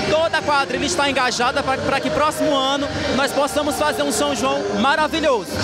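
A man at a fairly quick pace, with music in the background and a dry sound with no echo. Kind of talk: interview answer. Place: hall. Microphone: handheld.

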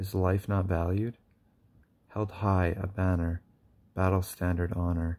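Soft-spoken, a man talks at a very slow pace in a very deep, low pitch. His tone is dark and mellow, his intonation monotone and flat. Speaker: poet reading own work. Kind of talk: poetry reading; casual chat. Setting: at home at night. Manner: halting. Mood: solemn, grieving, accusatory. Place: home room. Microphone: phone near.

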